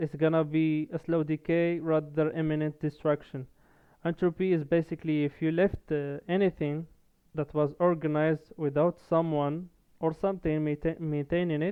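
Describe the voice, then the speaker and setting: Speaking at a moderate pace with a non-native accent, a man keeps a monotone, flat intonation in a fairly high voice. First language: not English. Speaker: gaming content creator. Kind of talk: video essay monologue. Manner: halting, frequent fillers and restarts.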